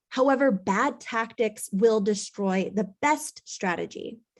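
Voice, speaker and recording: A woman talks at a very slow pace, with a quiet background behind her. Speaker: real estate business owner and coach. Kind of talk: conference presentation. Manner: loud.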